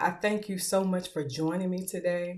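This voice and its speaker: Speaking with a Southern US accent, a woman has a fairly low pitch and a moderate pace. The recording is very clean with a silent background. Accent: Southern US twang. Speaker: podcast host and author. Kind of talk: motivational talk show monologue.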